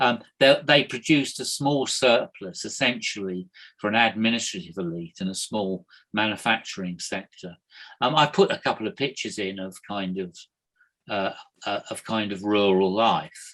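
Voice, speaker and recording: A man talks with a fairly low pitch and ordinary pitch variation. He has an ordinary speaking voice. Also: moderate pace. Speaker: history lecturer. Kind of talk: online lecture. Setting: video call.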